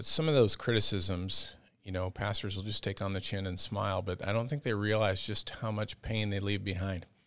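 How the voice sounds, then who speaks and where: A man with an American accent speaks at a fairly low pitch with fairly even intonation. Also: fairly quick pace, very clean recording, silent background. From US Midwest (Iowa, Minneapolis area). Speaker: pastor. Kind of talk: casual interview.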